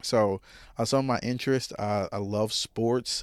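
A man with an Arkansas accent speaks at a fairly slow pace, his fairly low pitch carrying fairly even intonation. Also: very clean recording, silent background. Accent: US Southern (Arkansas). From Arkansas, Jonesboro. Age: 20s. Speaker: podcast host. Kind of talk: solo monologue, casual personal talk.

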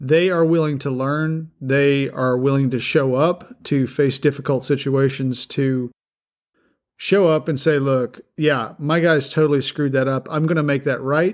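On a very clean recording with a silent background, a man with a fairly high pitch speaks at a fairly slow pace. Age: 50s. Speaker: podcast host and construction contractor. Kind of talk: unscripted rant.

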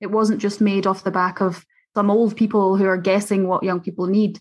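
Medium-pitched woman with a Scottish accent, monotone, flat intonation and a moderate pace, over a quiet background. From Scotland. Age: 20s. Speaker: youth care advocate. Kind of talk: interview.

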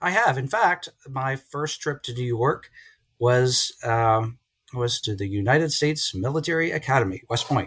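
On a very clean recording with a silent background, a man uses an ordinary speaking voice of medium pitch, with lively intonation at a moderate pace. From central Virginia (Lynchburg). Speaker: business professor. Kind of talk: casual interview.

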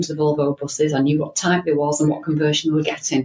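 The voice is somewhat breathy and moves at a very fast pace. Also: woman. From Manchester, then Blackpool, northern England. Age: 60s. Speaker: transport company director. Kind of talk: interview.

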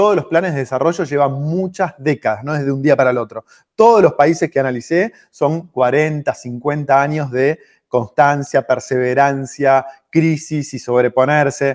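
This is an ordinary speaking voice from a man, fairly high in pitch, with ordinary pitch variation and a fairly slow pace. The sound is dry and close with no echo. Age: 40s. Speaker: entrepreneur and author. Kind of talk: interview.

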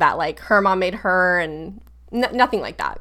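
In a very clean recording with a silent background, a woman with an American accent and an ordinary speaking voice talks at a medium pitch with ordinary pitch variation. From Florida. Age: 30s. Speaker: wellness business owner. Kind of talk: interview.

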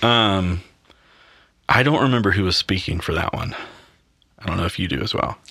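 A fairly low-pitched man with a Southern US accent, bright, sharp tone, ordinary pitch variation, a fairly quick pace and long, frequent pauses. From US South, Mississippi. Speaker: worship pastor. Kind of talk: casual interview. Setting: on location.

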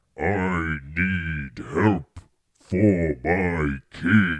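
A man's booming put-on character voice, very deep and low in pitch

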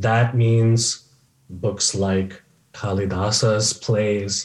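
In a General American accent, a man speaks at a very slow pace with a fairly low pitch, somewhat breathy delivery and ordinary pitch variation. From US, California Bay Area. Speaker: professor. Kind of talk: interview.

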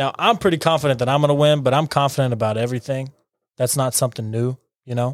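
This man has an unremarkable speaking voice, medium in pitch, with fairly even intonation. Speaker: podcast host. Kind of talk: casual chat.

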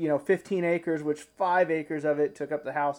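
Fairly even intonation comes through in an Ozark accent over a quiet background. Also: man. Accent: Ozark Southern US. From Arkansas, Ozarks. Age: 30s. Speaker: hunting content creator. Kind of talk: casual interview.

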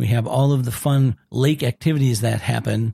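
Somewhat breathy and with ordinary pitch variation, a man speaks with an Upper Midwest accent on a very clean recording against a silent background. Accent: Upper Midwest American. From Minnesota. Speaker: executive director of a camp ministry. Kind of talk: casual interview.

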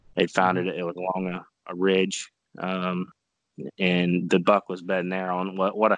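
With an American accent, a man talks at a fairly slow pace in a very deep, low pitch. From southeastern Ohio (Caldwell area). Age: 30s. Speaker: bow hunter. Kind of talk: casual interview. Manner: halting, many fillers.

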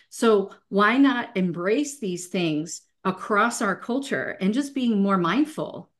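Speaking in a plain, everyday voice with an American accent, a woman talks at a fairly slow pace with lively intonation. Her pitch is medium, and the background is quiet. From US, Italian American family. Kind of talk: casual interview chat.

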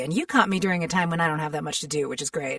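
Somewhat breathy, a woman speaks in a fairly low pitch with ordinary pitch variation. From US military family, partly raised in Seoul, Korea. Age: 30s. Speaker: voice actor. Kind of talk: casual interview chat.

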